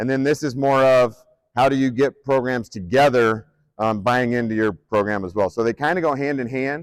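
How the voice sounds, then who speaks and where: A man of medium pitch with a Midwestern US accent and ordinary pitch variation. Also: moderate pace. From Nebraska, Omaha. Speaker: strength coach and athletic director. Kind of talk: conference presentation. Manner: hesitant, many fillers; loud projecting coaching voice.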